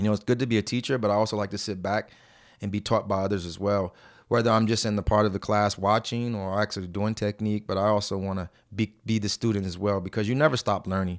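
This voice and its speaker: In an American accent, a man speaks at a very fast pace and a fairly low pitch with monotone, flat intonation, the sound dry and close with no echo on a very clean recording with a silent background. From New Jersey, US East Coast (born Brooklyn). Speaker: jiu-jitsu instructor. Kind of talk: casual interview.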